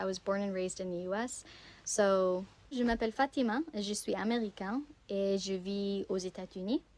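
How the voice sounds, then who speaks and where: A woman's plain, everyday voice, with an American accent, medium pitch, ordinary pitch variation and a fairly quick pace. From US, Virginia. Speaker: language learner vlogger. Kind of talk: casual multilingual self-introduction.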